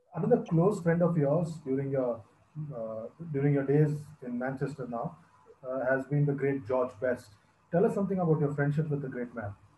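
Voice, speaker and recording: A man's somewhat breathy voice with a dark, mellow tone, at a moderate pace over light background noise. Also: fairly high pitch for a man, ordinary pitch variation. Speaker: cricket interviewer. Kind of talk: interview. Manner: formal. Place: home room. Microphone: earbuds.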